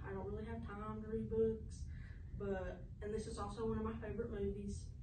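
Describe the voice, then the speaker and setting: With a Southern US accent, a woman talks at a fairly quick pace with very wide pitch swings over noticeable background noise. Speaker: student presenter. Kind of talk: class presentation to camera. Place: classroom. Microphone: camera far.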